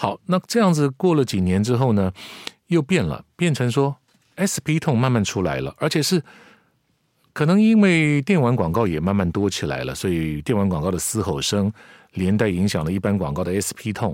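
The sound is dry and close, with no echo. A man speaks at a moderate pace, his pitch swinging very widely. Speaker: veteran voice actor. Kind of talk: casual chat.

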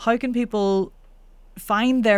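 A woman with a Northern Irish accent speaks with fairly even intonation on a very clean recording with a silent background. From Northern Ireland. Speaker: voice coach. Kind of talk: casual interview.

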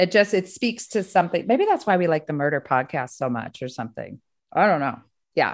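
Against a quiet background, a woman talks at a fairly quick pace, with fairly low pitch and very wide pitch swings. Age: 50s. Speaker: podcast host, therapist. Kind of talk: casual chat.

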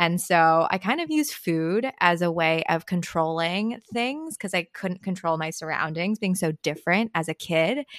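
A woman with a Californian accent speaks at a moderate pace and a fairly low pitch, with ordinary pitch variation and hardly any pauses. The recording is very clean with a silent background and a dry, close sound with no echo. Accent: California. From San Francisco Bay Area (Marin County). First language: Chinese. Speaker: dietitian. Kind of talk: interview.

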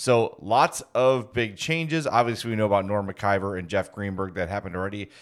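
Here is an ordinary speaking voice from a man at a moderate pace. His intonation is lively, and the recording is very clean with a silent background. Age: 40s. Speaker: sports podcast host. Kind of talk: casual chat.

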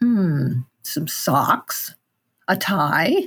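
With an American accent, a woman speaks in a fairly low, somewhat breathy voice with lively intonation. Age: 80s+. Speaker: writer and illustrator. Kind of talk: casual interview chat; reading aloud own story.

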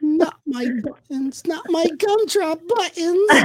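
Pitched extremely high, a put-on character voice moves at a fairly slow pace. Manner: panicked, pleading.

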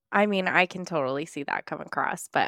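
In an ordinary speaking voice, a woman talks at a fairly quick pace with lively intonation on a very clean recording with a silent background. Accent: American. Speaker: podcast co-host. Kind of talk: interview, casual conversation.

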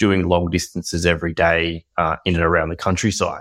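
In an Australian accent, a man speaks at a fairly quick pace. His very deep, low voice stays monotone and flat. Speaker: podcast co-host. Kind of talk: casual interview. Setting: video call.

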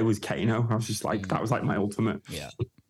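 A man talks at a very fast pace. His voice is medium in pitch and somewhat breathy. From northern England. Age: 30s. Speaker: DJ and producer. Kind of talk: casual chat.

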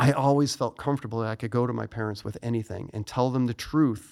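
An American-accented man talks at a moderate pace and medium pitch. His intonation stays fairly even, and the recording is very clean with a silent background. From US Midwest, Chicago suburbs. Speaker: retired fighter pilot and author. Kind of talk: interview.

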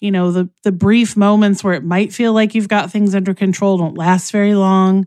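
A woman's medium-pitched voice, dark and mellow in tone, monotone and flat, at a moderate pace, on a very clean recording with a silent background. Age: 50s. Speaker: nursing instructor. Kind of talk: interview.

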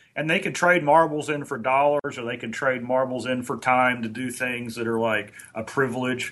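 Speaking at a fairly quick pace, a man with a medium-pitched voice is heard over noticeable background noise. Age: 50s. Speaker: motivational trainer. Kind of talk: casual chat.

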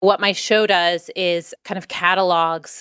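A woman's plain, everyday voice, fairly low in pitch with fairly even intonation, dry and close with no echo on a very clean recording with a silent background. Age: 30s. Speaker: writer and podcast host. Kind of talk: scripted narration.

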